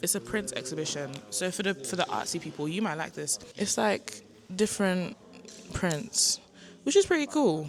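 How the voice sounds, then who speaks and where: This is a woman's voice with a fairly low pitch. Vocal fry is present. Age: 20s. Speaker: vlogger, university student. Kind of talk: casual vlog talk to camera. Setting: art gallery, then at home.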